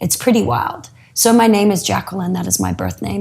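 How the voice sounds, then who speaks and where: This woman has an Australian accent. She talks at a fairly quick pace. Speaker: yoga teacher. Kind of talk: interview.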